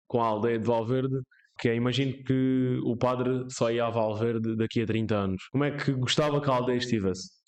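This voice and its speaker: Fairly even intonation marks a man's unremarkable speaking voice, pitched at a medium level. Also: fairly quick pace, very even loudness. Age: young. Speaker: podcast host. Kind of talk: interview.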